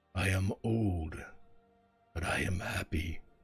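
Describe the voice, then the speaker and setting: A man puts on a booming, raspy character voice with a very deep, low pitch. Faint music plays in the background. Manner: comforting, slow.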